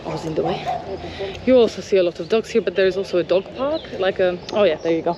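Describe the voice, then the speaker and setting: Noticeable background noise accompanies a woman at a medium pitch. She talks at a fairly quick pace with ordinary pitch variation. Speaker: travel vlogger. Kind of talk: walking tour vlog. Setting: outdoors walking in a park. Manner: animated.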